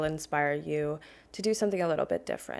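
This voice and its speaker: A soft-spoken woman with a very deep, low pitch talks in fairly even intonation on a very clean recording with a silent background. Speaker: gaming video creator. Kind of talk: voiceover commentary on a game build. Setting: home apartment. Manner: quiet, soft-spoken; casual, conversational.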